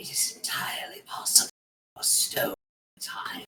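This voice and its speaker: Someone does a raspy, put-on character voice at a moderate pace. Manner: whispering.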